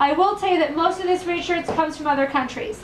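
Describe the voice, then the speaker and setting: Talking at a very fast pace with ordinary pitch variation, a woman is heard over noticeable background noise. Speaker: health practitioner and product distributor. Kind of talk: testimony and sales presentation. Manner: enthusiastic.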